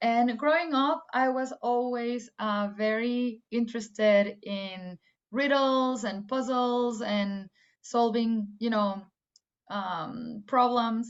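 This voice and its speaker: At a very slow pace, a woman with a fairly high pitch speaks with fairly even intonation. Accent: Spanish. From Mexico, Guadalajara. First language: Spanish. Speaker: AI engineer. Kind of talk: career talk to students. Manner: hesitant, many fillers.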